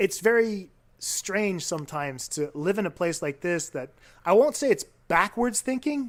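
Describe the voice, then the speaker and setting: A man speaks with a slight French-Canadian accent at a high pitch. His pitch swings very widely, on a very clean recording with a silent background. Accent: slight French-Canadian tinge to English. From Quebec, Canada (Baie-Comeau), anglophone. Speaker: teacher. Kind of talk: casual podcast chat.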